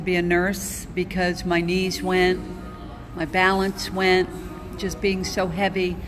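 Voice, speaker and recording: Music plays in the background while room echo is audible. A woman talks at a fairly slow pace and medium pitch with monotone, flat intonation. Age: 60s. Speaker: former nurse, keto dieter. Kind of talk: personal testimony. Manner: halting, many fillers.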